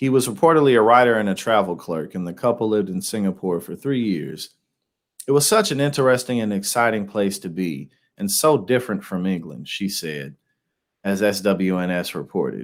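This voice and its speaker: An unremarkable speaking voice from a man, fairly low in pitch, with lively intonation and a fairly quick pace, on a very clean recording with a silent background. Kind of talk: casual news reaction commentary. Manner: casual, conversational.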